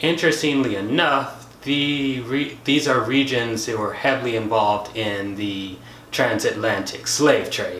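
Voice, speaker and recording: The speech goes at a fairly slow pace with ordinary pitch variation, audible room echo and light background noise. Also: man. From United States. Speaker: science YouTuber. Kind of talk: educational video monologue. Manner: casual, conversational. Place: home room.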